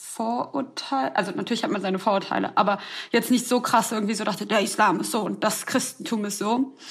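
Vocal fry runs through this woman's fairly high-pitched voice. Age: 20s. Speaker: podcast co-host, student. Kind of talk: casual chat.

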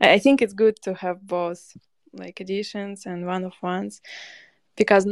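The voice speaks in a flat monotone at a moderate pace. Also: woman. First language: not English. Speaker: digital artist. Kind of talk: casual interview. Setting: live audio spaces online. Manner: halting, searching for words.

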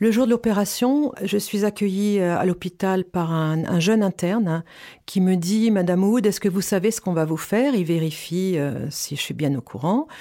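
A woman speaks with a dark, mellow tone at a medium pitch, her intonation lively. The recording is very clean, with a silent background. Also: moderate pace. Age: 50s. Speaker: cancer patient. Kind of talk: testimony. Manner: halting.

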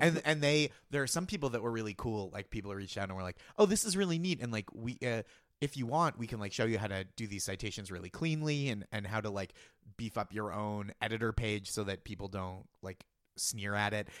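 A man's plain, everyday voice, fairly low and fairly quick, with lively intonation, on a very clean recording with a silent background. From Boston area. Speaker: comedy writer. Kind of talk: casual chat.

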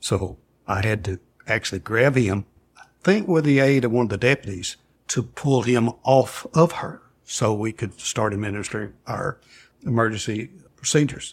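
At a moderate pace, a somewhat breathy man with a Southern US accent speaks in a medium pitch. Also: ordinary pitch variation. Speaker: former paramedic. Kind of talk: interview testimony.

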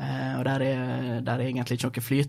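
A man is speaking. His pace is fairly quick. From Norway, Sunnmøre (near Ålesund); born in Gothenburg, Sweden. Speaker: startup founder. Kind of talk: interview. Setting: studio.

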